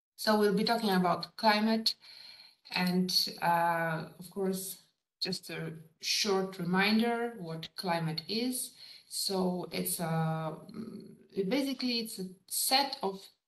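Very slow woman's speech with long, frequent pauses, big swings in loudness, ordinary pitch variation and audible room echo. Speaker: lecturer. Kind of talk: lecture. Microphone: video call.

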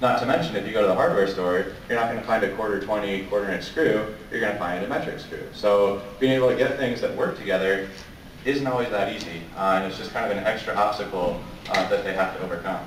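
Talking at a very fast pace with an American accent, a man uses a fairly low pitch and ordinary pitch variation amid audible room echo and light background noise. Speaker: robotics mentor, works for space agency; presenter. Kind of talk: presentation. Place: hall. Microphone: camera far.

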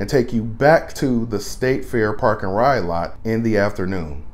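A man talks at a fairly slow pace. His pitch varies an ordinary amount. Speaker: bus driver vlogger. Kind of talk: explainer commentary. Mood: friendly, enthusiastic. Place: bus.

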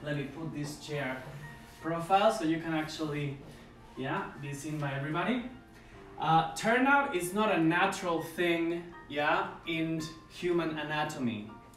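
A man talks with ordinary pitch variation in audible room echo, with faint music in the background. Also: moderate pace. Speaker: ballet instructor. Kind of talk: tutorial. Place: home room. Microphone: camera far.

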